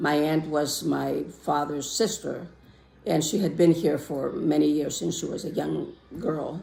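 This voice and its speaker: A woman speaks with a Greek accent. Her voice has vocal fry. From Greece. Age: 60s. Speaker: interviewee, immigrant. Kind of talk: interview testimony.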